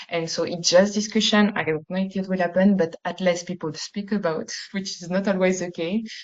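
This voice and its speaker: Her intonation fairly even, a woman talks in a French accent. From France. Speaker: university researcher. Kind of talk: webinar presentation. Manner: halting, many fillers.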